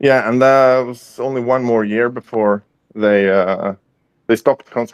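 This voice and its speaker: A man with a Swedish accent speaks at a fairly slow pace and medium pitch with fairly even intonation, in a dry, close sound with no echo. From Sweden. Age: 40s. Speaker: guest in online chat. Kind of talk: casual chat. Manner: halting, many fillers.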